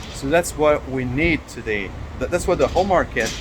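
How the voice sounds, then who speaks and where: A man speaks at a fairly high pitch with a French accent. Noticeable background noise is present. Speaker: software developer. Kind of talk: talking to camera about his business. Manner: halting, many fillers and repetitions.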